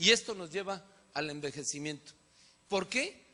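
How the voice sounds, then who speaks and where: A man's raised, projected voice carries a bright, sharp tone at a moderate pace with ordinary pitch variation. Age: 60s. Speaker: physician. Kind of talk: lecture.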